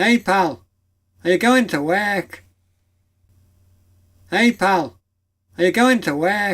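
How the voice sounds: In a put-on character voice, a nasal man speaks at a high pitch and a very slow pace with long, frequent pauses.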